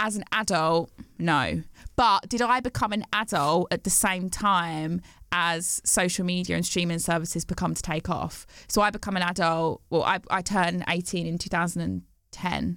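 With vocal fry and a fairly low pitch, a woman speaks at a fairly slow pace on a very clean recording with a silent background. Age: 30s. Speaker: podcast host. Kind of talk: casual chat.

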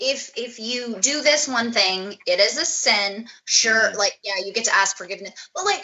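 A woman with an unremarkable speaking voice, fairly high in pitch with ordinary pitch variation, at a moderate pace with hardly any pauses. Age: 20s. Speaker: home health aide. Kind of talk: personal testimony in interview. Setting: remote call via Skype.

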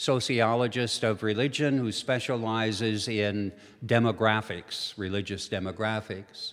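A man with an unremarkable speaking voice talks at a fairly slow pace, medium in pitch, with fairly even intonation. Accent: American. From Minnesota and eastern North Dakota. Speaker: theologian and retired professor. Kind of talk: lecture. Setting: church hall with live audience.

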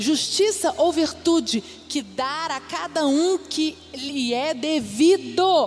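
Against noticeable background noise, a woman talks very slowly in a high pitch with lively intonation. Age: 40s. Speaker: pastor. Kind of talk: sermon. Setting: church.

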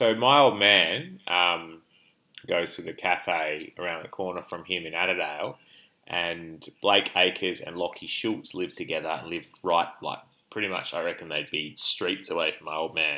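A man with an Australian accent, very deep and low in pitch, at a moderate pace. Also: ordinary pitch variation. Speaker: podcast co-host, hospital doctor. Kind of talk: casual chat. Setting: remote call between cities. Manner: loud.

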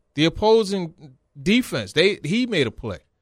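A man's high-pitched voice, fairly slow in pace with lively intonation, on a very clean recording with a silent background. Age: 40s. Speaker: sports reporter. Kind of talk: casual chat.

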